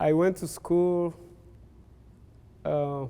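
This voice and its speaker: A man with a Rwandan accent, at a very slow pace. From Uganda, Rwandan family. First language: Kinyarwanda. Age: 60s. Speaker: pastor's son, translator. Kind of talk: life story interview. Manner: halting, with fillers.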